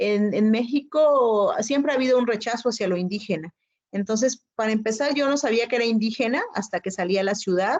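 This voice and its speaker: Talking at a fairly quick pace, a woman has a fairly high pitch with ordinary pitch variation. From Chiapas, Mexico (Zoque community). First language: Zoque (speaking Spanish). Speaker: poet and writer. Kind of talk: interview conversation. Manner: hesitant, many fillers.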